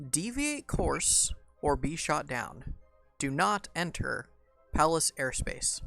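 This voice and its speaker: A man uses a booming, put-on character voice at a fairly slow pace. Faint music plays in the background. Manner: commanding, authoritative warning.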